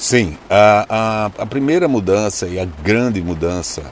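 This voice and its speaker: Over noticeable background noise, a man speaks at a very slow pace. His pitch is fairly low. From Brazil, Recife. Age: 50s. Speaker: journalist turned ride-share driver. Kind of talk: interview.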